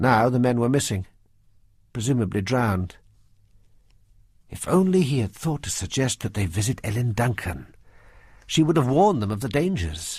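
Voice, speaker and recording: On a very clean recording with a silent background, a man at a medium pitch speaks somewhat breathily at a moderate pace. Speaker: audiobook narrator. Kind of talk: audiobook narration.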